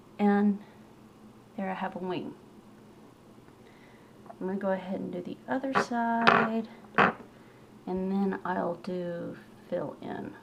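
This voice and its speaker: The speech is very slow, with long, frequent pauses. Noticeable background noise is present. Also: woman, medium pitch for a woman, ordinary pitch variation. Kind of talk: makeup tutorial talk to camera. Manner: casual.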